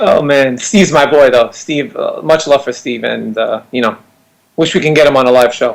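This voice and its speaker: A man speaks at a moderate pace with a Brooklyn accent. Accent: New York (Brooklyn). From Brooklyn, New York. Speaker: fantasy sports player. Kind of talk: casual live web show chat.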